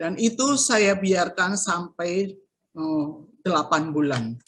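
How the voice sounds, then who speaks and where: A woman speaks with ordinary pitch variation. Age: 60s. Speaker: cancer survivor giving testimony. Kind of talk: testimony. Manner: hesitant, many fillers.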